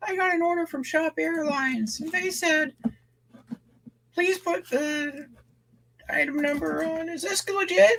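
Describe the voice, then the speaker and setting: In a high-pitched put-on character voice, the speaker talks at a fairly slow pace with long, frequent pauses. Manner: naive, uncertain.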